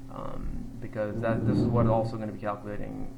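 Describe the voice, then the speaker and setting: The room echo is audible. A man talks at a moderate speed. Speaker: trading group member explaining a money management spreadsheet. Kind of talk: screen-share tutorial. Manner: halting, many fillers; casual.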